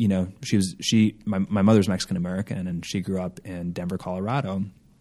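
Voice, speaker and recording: The voice has a dark, mellow tone and fairly even intonation against a quiet background. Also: man, hardly any pauses. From Minnesota, Minneapolis. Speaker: company founder and CEO. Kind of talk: interview. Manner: casual with many fillers.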